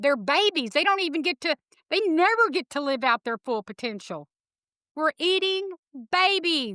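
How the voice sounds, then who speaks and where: A woman with a Texas accent projects a raised, high voice with a bright, sharp tone and very wide pitch swings. She keeps a moderate pace in a dry, close sound with no echo. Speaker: animal rescuer, former cattle rancher. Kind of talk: interview.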